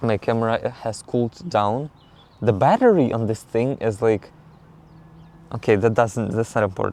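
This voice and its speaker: A man speaks at a moderate pace with long, frequent pauses. His pitch is medium, with ordinary variation and a dark, mellow tone. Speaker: vlogger. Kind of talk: casual vlog chat to camera. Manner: chatty, rambling with filler words.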